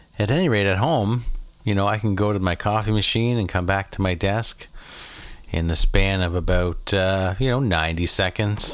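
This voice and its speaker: With a Maritime Canadian accent, a man talks at a moderate pace and fairly low pitch, with ordinary pitch variation. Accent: Canadian (Maritimes). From Prince Edward Island, Canada. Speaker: podcast host. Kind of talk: casual monologue rant. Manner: animated; frequent fillers.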